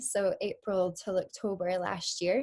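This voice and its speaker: A woman with a Scottish accent at a very slow pace, over a quiet background. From Scotland. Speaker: marine biologist. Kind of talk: educational presentation. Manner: frequent filler ums.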